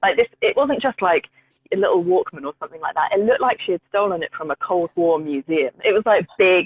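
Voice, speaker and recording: Speaking at a fairly quick pace, a woman uses a medium-pitched voice. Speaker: music journalist. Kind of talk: interview. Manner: fast.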